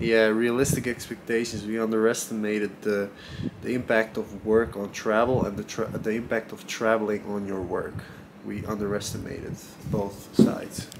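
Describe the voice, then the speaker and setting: A man speaks at a fairly low pitch in a flat monotone. Noticeable background noise sits behind him. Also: moderate pace. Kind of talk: interview answer.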